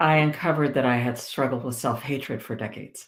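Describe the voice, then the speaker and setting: A woman with vocal fry at a fairly quick pace. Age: 60s. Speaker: military veteran and author with a doctorate. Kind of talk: interview testimony.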